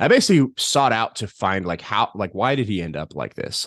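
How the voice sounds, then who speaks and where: Over a quiet background, a man with a fairly low pitch talks with very wide pitch swings. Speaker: hockey beat writer. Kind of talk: casual interview chat.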